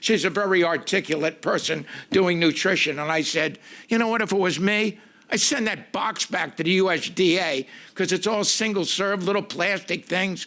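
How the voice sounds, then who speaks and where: A man projects a raised voice with a bright, sharp tone and high pitch, keeping very even loudness, ordinary pitch variation and a moderate pace. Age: 70s. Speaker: public commenter at school board meeting. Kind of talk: public comment. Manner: animated.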